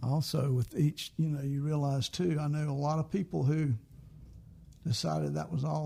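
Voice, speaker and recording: The speech moves at a moderate pace with a Southern US accent. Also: man. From US South, South Carolina. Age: 70s. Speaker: singer-songwriter. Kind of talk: casual chat.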